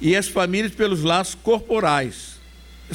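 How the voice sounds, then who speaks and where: A man talks at a fairly slow pace. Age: 70s. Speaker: spiritist lecturer. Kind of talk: lecture.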